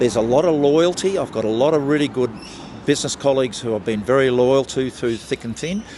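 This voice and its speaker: A man speaks at a fairly quick pace with lively intonation and a medium pitch. Noticeable background noise is present. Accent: Australian. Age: 70s. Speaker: entrepreneur. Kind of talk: street interview. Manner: hesitant, with fillers and repeats.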